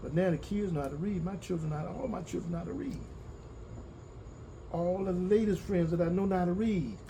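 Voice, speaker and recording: A high-pitched man talks at a very fast pace in a dark, mellow tone with ordinary pitch variation, long, frequent pauses, and audible room echo. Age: 60s. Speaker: farmer. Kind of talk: interview. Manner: halting, repetitive.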